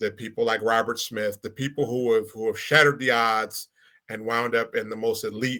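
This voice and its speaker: A man's bright, sharp voice at a medium pitch, with an American accent. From Milwaukee, Wisconsin. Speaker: panel guest. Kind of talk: panel discussion.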